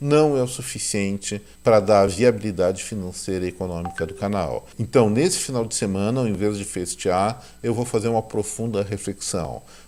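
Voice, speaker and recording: A man with a plain, everyday voice, a moderate pace and ordinary pitch variation. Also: fairly low pitch for a man. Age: 60s. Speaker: economics commentator, channel owner. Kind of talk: video commentary monologue. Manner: warm, conversational.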